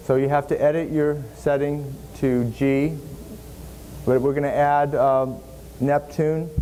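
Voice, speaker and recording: With noticeable noise behind him, a man with a fairly high voice speaks at a fairly slow pace. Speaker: seminar instructor. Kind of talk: software tutorial.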